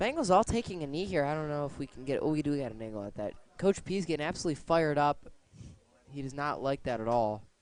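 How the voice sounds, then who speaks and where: The man rushes along very fast in a fairly high voice with lively intonation. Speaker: color commentator. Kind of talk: live commentary. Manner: halting, many fillers.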